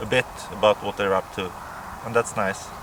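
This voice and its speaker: There is noticeable noise in the background. Over it, a man speaks with a fairly low pitch. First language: Swedish or Finnish. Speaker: pipe smoking vlogger. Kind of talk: casual monologue to camera. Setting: outdoors near a farmhouse. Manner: hesitant, many fillers and repeats.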